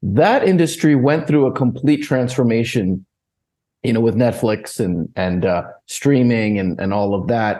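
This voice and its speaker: With an American accent, a man talks in a medium pitch with a dark, mellow tone. His intonation is lively, and the background is quiet. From United States. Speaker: equity analyst. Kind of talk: interview.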